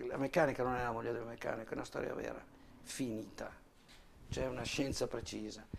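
Talking at a very fast pace with long, frequent pauses, a man keeps his intonation fairly even amid audible room echo. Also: medium pitch for a man. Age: 50s. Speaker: motorcycle mechanic. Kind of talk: casual interview in workshop. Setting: motorcycle workshop.

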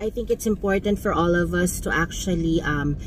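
At a fairly slow pace, a woman talks over light background noise, the sound dry with no echo. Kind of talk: casual vlog chat. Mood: warm, reflective. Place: car. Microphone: phone near.

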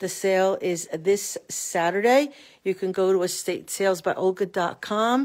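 A woman with ordinary pitch variation, against a quiet background. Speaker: estate sale seller. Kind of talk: casual promotional walkthrough. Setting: walking through a house, filming a video tour. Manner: informal and chatty, with fillers like 'uh' and 'um'. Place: home room. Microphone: phone near.

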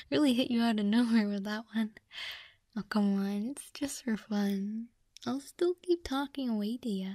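A soft-spoken voice at a moderate pace. The sound is dry with no echo, over a quiet background. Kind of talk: soft roleplay chat to listener. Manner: soft, intimate ASMR-style murmur.

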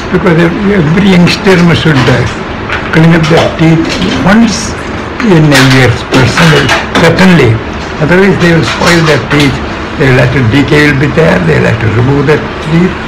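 Loud background noise behind a man speaking at a moderate pace. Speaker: dental patient. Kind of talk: interview answer giving advice. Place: office. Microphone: phone near.

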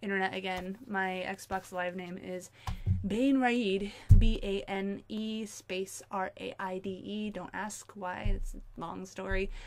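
Ordinary pitch variation marks this woman's speech. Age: 20s. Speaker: gaming youtuber; game reviewer. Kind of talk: video game review. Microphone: webcam.

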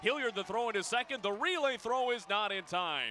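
Over noticeable background noise, a man speaks in a raised, projected voice at a moderate pace. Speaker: baseball radio announcer. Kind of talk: live baseball play-by-play commentary.

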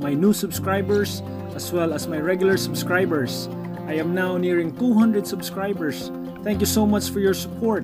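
Over clear background music, a man talks at a moderate pace. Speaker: vlogger. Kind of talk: casual vlog chat. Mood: cheerful and upbeat. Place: street. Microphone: phone near.

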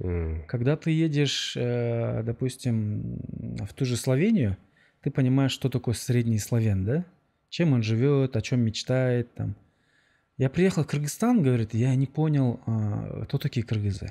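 A man speaks at a fairly slow pace in a dark, mellow tone with ordinary pitch variation. Long, frequent pauses break up his speech over a quiet background. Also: medium pitch for a man. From Kyrgyzstan. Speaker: podcast host. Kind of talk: interview. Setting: outdoors. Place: studio. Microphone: studio mic.

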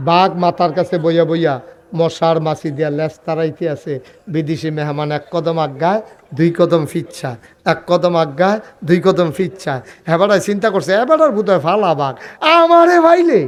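Speaking at a high pitch, a man shows ordinary pitch variation. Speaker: Islamic preacher. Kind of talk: sermon. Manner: animated.

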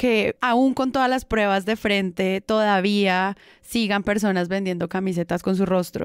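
A woman speaks in an unremarkable speaking voice at medium pitch and a fairly slow pace, with ordinary pitch variation, very even loudness and hardly any pauses, in a dry, close recording with no echo that is very clean against a silent background. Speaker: podcast host. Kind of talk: casual chat.

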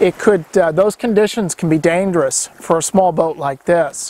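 With light background noise and a dry sound with no echo, a man speaks at a fairly slow pace and high pitch, with ordinary pitch variation. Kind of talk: casual vlog explanation. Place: boat. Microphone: lapel.

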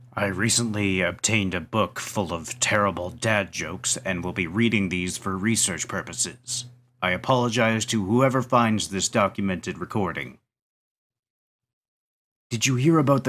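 A man uses a cartoonish character voice with a fairly low pitch. He talks at a moderate pace with ordinary pitch variation.

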